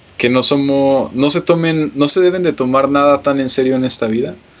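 A fairly high-pitched male voice with ordinary pitch variation and noticeable background noise. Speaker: podcast co-host. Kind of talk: casual chat.

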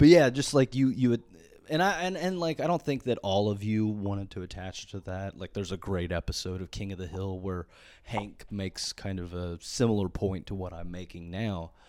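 Over a very clean, silent background, a man talks at a moderate pace. His pitch varies in an ordinary way while his loudness swings greatly. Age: 30s. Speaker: podcast host. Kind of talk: solo rant, casual comedic monologue. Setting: solo podcast recording. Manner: rambling, filler-heavy, stumbling repeats.

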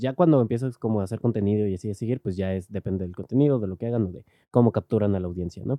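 A man's fairly low, dark, mellow voice with a Mexican accent and ordinary pitch variation, dry and close with no echo, over a quiet background. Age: 20s. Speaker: podcaster. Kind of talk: casual monologue. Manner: halting, many fillers. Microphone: directional mic, worse when turning away.

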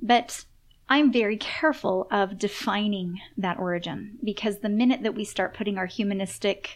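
The woman has a plain, everyday voice, speaking at a moderate pace and medium pitch with ordinary pitch variation. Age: 30s. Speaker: author and intuitive. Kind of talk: casual chat.

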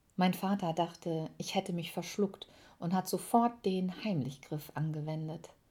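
In a very clean recording with a silent background, a woman speaks at a fairly slow pace in a somewhat breathy voice, with a fairly low pitch and a dark, mellow tone. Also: ordinary pitch variation. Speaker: podcaster. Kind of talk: personal storytelling monologue.

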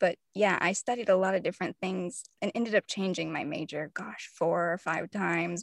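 A woman speaks at a moderate pace in a medium pitch, with an American accent and vocal fry. She leaves hardly any pauses. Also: ordinary pitch variation, dry, close sound with no echo. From US South, mainly Tennessee. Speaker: fiction author and poet. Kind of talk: interview conversation.

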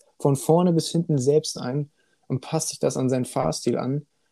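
An unremarkable speaking voice from a man, fairly high-pitched, at a moderate pace with ordinary pitch variation and a dry, close sound with no echo. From Hannover, Germany (partly raised in China). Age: 20s. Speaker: sim racing driver. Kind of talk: casual chat.

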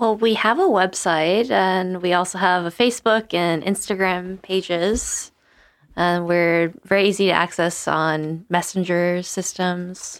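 A woman speaks in an ordinary speaking voice, medium in pitch, fairly slowly and with fairly even intonation. Her loudness stays very even, and the recording is very clean with a silent background. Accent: American. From Charleston, South Carolina. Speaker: food-sharing volunteer. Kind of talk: casual interview chat.

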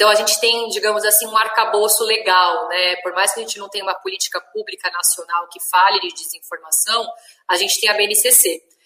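A woman in a normal speaking voice talks at a fairly quick pace and medium pitch, her intonation fairly even and her loudness swinging widely. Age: 30s. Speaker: journalist and media educator. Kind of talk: interview.

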